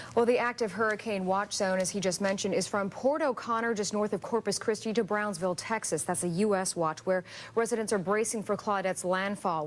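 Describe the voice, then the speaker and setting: Recorded very cleanly against a silent background, a woman talks at a fairly quick pace at a medium pitch with ordinary pitch variation in a plain, everyday voice. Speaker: TV news anchor. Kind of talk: TV news read.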